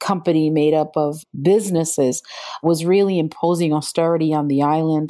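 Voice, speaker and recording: With an American accent and fairly even intonation, an unremarkable speaking voice comes through on a very clean recording with a silent background. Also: woman. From New York City. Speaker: environmental justice attorney and activist. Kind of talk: interview.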